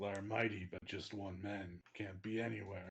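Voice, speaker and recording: A man's raspy, put-on character voice, fairly low and flat in a monotone, at a moderate pace. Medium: actual play. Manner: broken, clipped speech.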